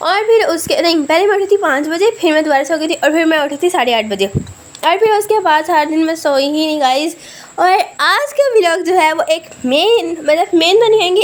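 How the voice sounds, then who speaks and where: Pitched extremely high, a woman's voice swings very widely. Noticeable background noise sits behind her. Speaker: family vlogger. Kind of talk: vlog narration. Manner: casual chatty.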